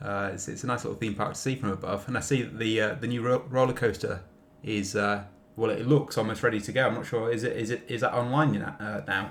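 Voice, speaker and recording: Very fast male speech moves along with ordinary pitch variation. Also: medium pitch for a man. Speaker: podcast contributor. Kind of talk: casual chat.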